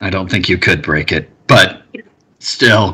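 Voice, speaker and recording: A man performs a put-on character voice that is raspy. He delivers it at a fairly slow pace. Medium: actual play. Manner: terse, grudging.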